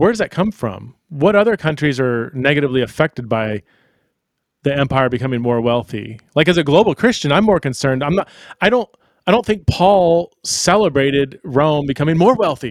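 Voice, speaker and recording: A man with an American accent, fairly quick pace and very wide pitch swings. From United States. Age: 40s. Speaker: biblical scholar and author. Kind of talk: interview. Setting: remote call. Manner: halting, repeats words.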